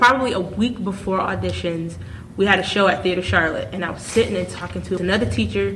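Noticeable background noise and audible room echo around a woman's very fast speech. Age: 20s. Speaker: podcast host and stage actor. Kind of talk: casual chat.

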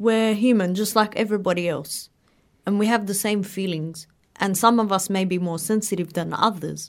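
Her intonation fairly even, a woman speaks in an Australian accent. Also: medium pitch for a woman, moderate pace. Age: 20s. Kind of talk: interview.

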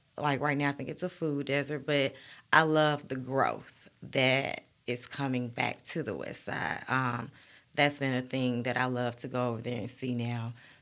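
A woman with an Alabama accent speaks at a moderate pace in a very deep, low voice, her intonation flat and monotone. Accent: US Southern, Alabama. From Birmingham, Alabama. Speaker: guest. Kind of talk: casual interview chat.

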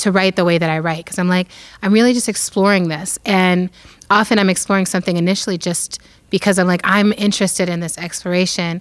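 Using an ordinary speaking voice, a woman talks at a fairly quick pace with a medium pitch and fairly even intonation. The recording is very clean, the background silent. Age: 40s. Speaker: author and activist. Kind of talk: interview.

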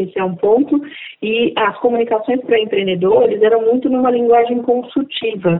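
A woman's normal speaking voice, fairly high in pitch, with ordinary pitch variation at a moderate pace. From Brazil, Alagoas (Northeast). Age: 50s. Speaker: entrepreneur. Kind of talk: interview.

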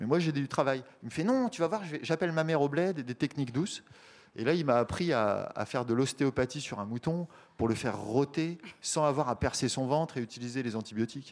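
A plain, everyday voice, the man speaks at a fairly quick pace and a fairly high pitch with ordinary pitch variation, on a very clean recording with a silent background. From France, small town near Paris. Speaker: urban shepherd. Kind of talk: casual talk at a public radio event. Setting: live recording with audience.

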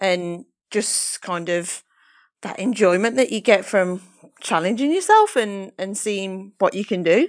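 A woman at medium pitch, fairly slow pace, against a quiet background. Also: ordinary pitch variation. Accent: northern English. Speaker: professional triathlete. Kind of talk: casual interview chat.

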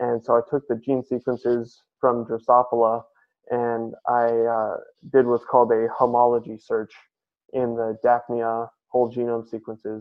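A man speaks with an American accent. His medium-pitched voice is monotone and flat. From San Francisco, California. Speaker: college student. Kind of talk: interview. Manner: hesitant, many fillers.

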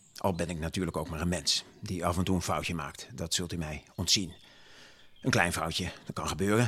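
Delivered at a moderate pace, a man's very deep, low voice holds a fairly even intonation. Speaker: gentleman farmer and municipal councillor (dramatized historical character). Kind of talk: period speech dramatization, in-character monologue delivered to an audience.

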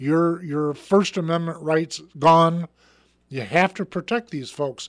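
This man has a plain, everyday voice, fairly high in pitch with fairly even intonation, heard in a dry, close sound with no echo over a quiet background. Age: 60s. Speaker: talk show host. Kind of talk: political talk show.

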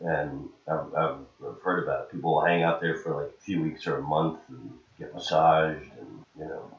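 Noticeable background noise accompanies speech at a moderate pace with big swings in loudness. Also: man. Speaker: touring comedian. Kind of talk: casual chat. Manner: good cadence.

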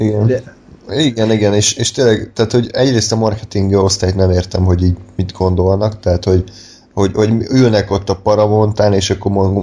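Speaking at a very fast pace, a man has a dark, mellow, somewhat breathy tone and fairly even intonation. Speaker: podcast host. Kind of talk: casual chat.

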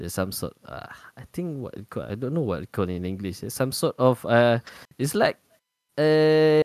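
A man with a Malaysian accent speaks at a moderate pace and a medium pitch, with very wide pitch swings and big swings in loudness. The sound is dry and close, with no echo. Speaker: podcast co-host. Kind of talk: casual chat.

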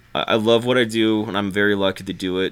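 Speaking at a moderate pace, a man has an unremarkable speaking voice. His pitch is fairly low and his intonation fairly even. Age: 20s. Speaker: musician and producer. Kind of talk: casual chat.

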